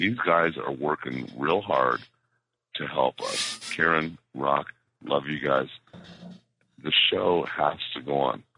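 A man talks at a very slow pace with a very deep, low pitch, vocal fry and ordinary pitch variation. Long pauses come often. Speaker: caller. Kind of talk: casual rant. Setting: phone call.

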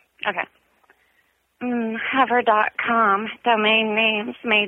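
Speaking in an American accent, a woman uses a fairly high pitch and a monotone, flat intonation. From Southern California. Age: 30s. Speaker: caller. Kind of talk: casual chat. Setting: phone call.

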